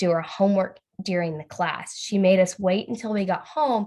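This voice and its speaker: A woman in a normal speaking voice, medium pitch, moderate pace and ordinary pitch variation. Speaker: student facilitator in training. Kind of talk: practice speech review in a video call. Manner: casual, many fillers.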